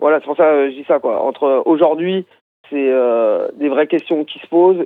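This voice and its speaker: Here a man has a fairly high pitch and an unremarkable speaking voice. He keeps a moderate pace with ordinary pitch variation. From Brittany, France. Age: 40s. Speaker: musician in experimental music. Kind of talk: phone interview. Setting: phone call.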